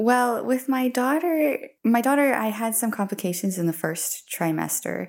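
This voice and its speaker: A woman talks at a moderate pace in an unremarkable speaking voice with a fairly high pitch. Her intonation is lively, and the recording is very clean with a silent background. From US, Colorado. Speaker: mother sharing birth stories. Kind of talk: interview, personal storytelling.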